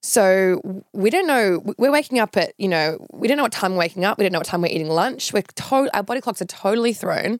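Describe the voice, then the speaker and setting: Moving at a fairly quick pace with hardly any pauses, a woman with an Australian accent speaks at a medium pitch and lively intonation in a very clean recording with a silent background and a dry, close sound with no echo. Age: 30s. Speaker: reality TV personality and social media influencer. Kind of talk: casual interview.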